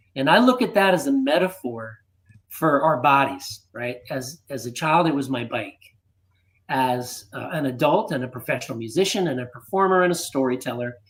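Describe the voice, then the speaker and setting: A man in an American accent, with an unremarkable speaking voice, fairly high pitch, lively intonation and a moderate pace. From United States. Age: 60s. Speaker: fitness system co-creator. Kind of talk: interview.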